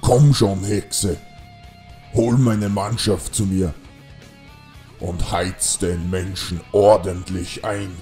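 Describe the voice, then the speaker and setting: Over clear music in the background, a man uses a put-on character voice at a fairly low pitch and a very slow pace. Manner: scornful, menacing.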